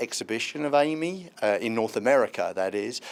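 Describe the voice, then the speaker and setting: A man with a British accent and lively intonation. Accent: British, noticeable. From London (Hackney), England. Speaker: tech incubator representative. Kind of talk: interview. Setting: live event interview at a festival.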